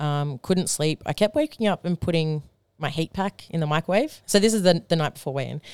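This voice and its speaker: A woman with an Australian accent speaks at a very deep, low pitch and a fairly quick pace, with ordinary pitch variation. The recording is very clean and silent in the background, with a dry, close sound with no echo. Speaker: powerlifter. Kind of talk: casual chat.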